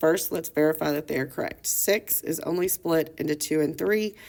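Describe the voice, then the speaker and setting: A woman with a normal speaking voice talks at a moderate pace in a fairly low pitch. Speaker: math teacher. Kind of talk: lecture.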